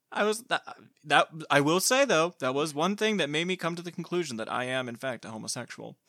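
This man talks at a fairly quick pace with lively intonation and a fairly high pitch. His tone is bright and sharp, and the sound is dry and close with no echo. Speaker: podcast host. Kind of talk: casual chat. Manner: droll, sad-sounding tone.

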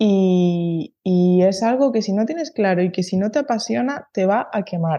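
With a normal speaking voice, a woman talks at a fairly slow pace and medium pitch, her intonation lively, her loudness very even, and hardly any pauses. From Spain, Canary Islands (Tenerife). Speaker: horse groom and stable manager. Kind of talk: interview conversation.

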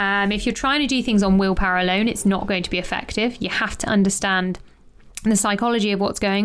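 A woman speaks at a medium pitch with fairly even intonation in a normal speaking voice. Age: 30s. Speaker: health and lifestyle coach, podcast host. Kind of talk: solo podcast monologue. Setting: home office with window open.

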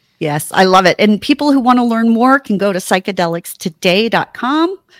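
A woman talks at a fairly high pitch and moderate pace with lively intonation. The recording is very clean with a silent background, dry and close with no echo. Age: 50s. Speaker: sex educator and podcast host. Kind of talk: casual chat. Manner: animated.

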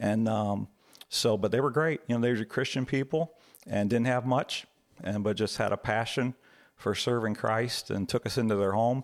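A man speaks in a normal speaking voice at a medium pitch, his loudness very even. The recording is very clean, with a silent background. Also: fairly even intonation, moderate pace. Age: 60s. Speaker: church elder, father. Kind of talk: personal testimony in interview.

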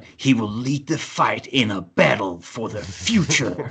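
Putting on a growling character voice, a man speaks in a medium pitch with a dramatic tone and lively intonation. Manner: dramatic, epic.

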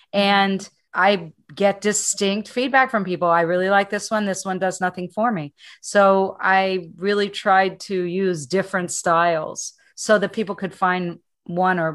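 Against a quiet background, a woman speaks at a fairly slow pace in an ordinary speaking voice. Her pitch is medium and her intonation fairly even. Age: 60s. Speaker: meditation teacher. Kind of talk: interview.

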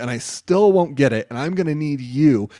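On a very clean recording with a silent background, a man with an ordinary speaking voice talks at a moderate pace in a fairly high pitch with ordinary pitch variation. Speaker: pastor. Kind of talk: casual chat. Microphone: sounds good.

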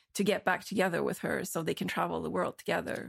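A woman at medium pitch speaks with vocal fry in a dry, close sound with no echo, on a very clean recording with a silent background. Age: 30s. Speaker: artist. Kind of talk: casual chat. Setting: in-person recording in Berlin.

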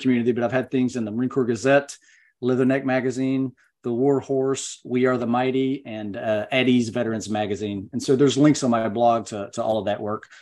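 Against a quiet background, a man with a plain, everyday voice talks at a fairly quick pace and a medium pitch with fairly even intonation. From US South, Western North Carolina. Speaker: retired Marine veteran. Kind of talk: interview, personal war story.

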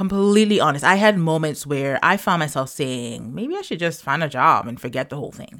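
Against a silent background in a very clean recording, a woman with a very deep, low pitch talks at a fairly quick pace with hardly any pauses, an animated tone, lively intonation and big swings in loudness. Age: 40s. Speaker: podcast host and side hustle coach. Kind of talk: personal monologue.

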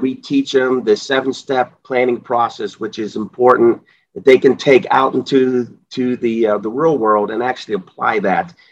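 A plain, everyday voice belongs to a man with an American accent and a medium pitch. He speaks at a fairly slow pace with ordinary pitch variation. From Pittsburgh area, US. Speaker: JROTC instructor, retired army sergeant. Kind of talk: interview.

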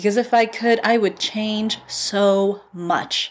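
Animated in tone, a woman speaks at a medium pitch. Her pace is fairly slow. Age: 30s. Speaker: podcast host, editor and book coach. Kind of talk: casual monologue.

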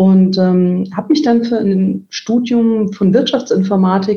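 Here is a woman with a normal speaking voice at a medium pitch. Her pitch variation is ordinary. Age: 40s. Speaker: IT executive. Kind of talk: interview. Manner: frequent filler sounds.

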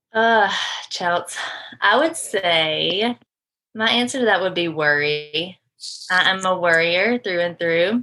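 Very slow woman's voice, bright and sharp in tone, with very even loudness, ordinary pitch variation and long, frequent pauses. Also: medium pitch for a woman. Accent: Southern US. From US South, Georgia. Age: 20s. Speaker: guest. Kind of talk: casual chat.

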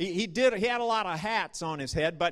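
A man with an American accent speaks at a high pitch, his pitch varying in an ordinary way. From US Midwest, north central Nebraska. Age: 50s. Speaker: rural ministry leader. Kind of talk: sermon.

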